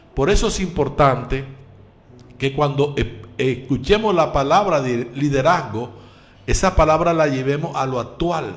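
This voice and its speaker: A man's fairly high, somewhat breathy voice with ordinary pitch variation, at a fairly slow pace in audible room echo. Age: 60s. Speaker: pastor and radio preacher. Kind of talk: radio sermon. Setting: live radio broadcast.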